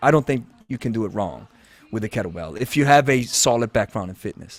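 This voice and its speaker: Vocal fry colors a fairly quick delivery in a non-native accent, the sound dry and close with no echo. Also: man. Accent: noticeable foreign. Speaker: podcast host. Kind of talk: casual interview chat. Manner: halting, with false starts.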